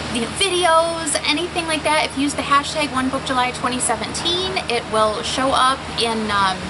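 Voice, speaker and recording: Raising and projecting her high voice, a woman speaks with lively intonation amid noticeable background noise and audible room echo. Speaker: stationery YouTuber. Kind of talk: casual vlog show-and-tell. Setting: outdoors. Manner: fast.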